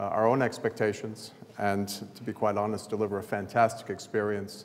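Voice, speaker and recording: With an American accent, a man speaks at a fairly quick pace in a fairly low pitch, his intonation monotone and flat and his loudness swinging widely. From US South, New Orleans. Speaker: sports event chief executive. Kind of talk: conference presentation. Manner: halting, many fillers.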